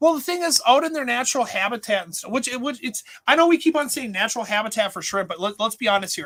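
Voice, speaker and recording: A man's raised, projected voice with an Upper Midwest accent, a bright, sharp tone, lively intonation and a very fast pace. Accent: Upper Midwest American. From Minnesota. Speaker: aquarium store owner and show host. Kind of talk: casual livestream chat. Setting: in his store.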